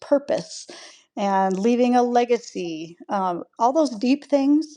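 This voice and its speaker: Very slowly, a woman speaks with a dark, mellow tone and lively intonation. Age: 60s. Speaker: podcast co-host. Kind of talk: casual chat.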